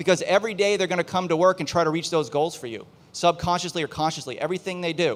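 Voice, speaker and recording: A man speaks very fast in a high voice. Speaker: business consultant. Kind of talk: presentation to live audience. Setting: outdoor event stage with audience.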